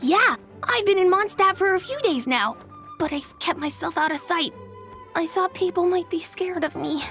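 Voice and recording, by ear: At a moderate pace and with faint music in the background, a woman performs a cartoonish character voice at an extremely high pitch, with lively intonation and a fairly bright tone.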